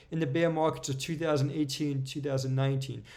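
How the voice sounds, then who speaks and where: Audible room echo hangs around this man's voice. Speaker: crypto market analyst YouTuber. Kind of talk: tutorial.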